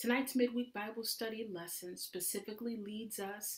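Somewhat breathy speech at a moderate pace over a quiet background. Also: woman. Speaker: Bible study teacher. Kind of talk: sermon. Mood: warm, reverent.

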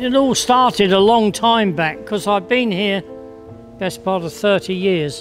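Faint music plays behind a man who speaks fairly slowly in a high pitch with lively intonation. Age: 80s+. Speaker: heritage volunteer, statue cleaner. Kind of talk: interview answer. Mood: warm, content, reflective. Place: garden.

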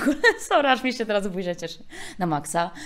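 The speech is very fast, with an animated tone. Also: woman. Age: 30s. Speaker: speech therapist. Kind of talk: casual chat. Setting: attic flat.

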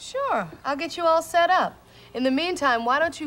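Here a woman talks at a moderate pace. There is light background noise. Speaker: day-care teacher. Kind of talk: children's TV dialogue. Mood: warm, cheerful. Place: studio.

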